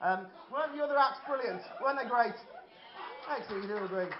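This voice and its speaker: Very fast male speech with noticeable background noise and audible room echo. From Birmingham, England. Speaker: amateur stand-up comedian. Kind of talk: stand-up. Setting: stage with audience.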